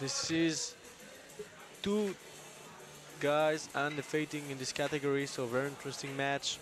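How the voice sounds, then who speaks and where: With music in the background, a man in a French accent speaks at a moderate pace and fairly high pitch, his intonation fairly even and his pauses long and frequent. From France. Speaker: arm wrestling commentator. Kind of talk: live commentary.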